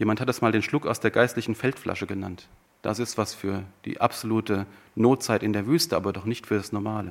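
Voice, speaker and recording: In a very clean recording with a silent background, a man with an unremarkable speaking voice and a fairly low pitch talks at a fairly quick pace. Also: ordinary pitch variation. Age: 50s. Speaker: preacher. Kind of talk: sermon.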